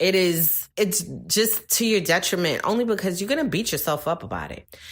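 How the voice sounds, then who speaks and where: A woman is speaking. Her intonation is lively. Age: 40s. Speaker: podcast host and author. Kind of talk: casual motivational monologue. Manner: animated.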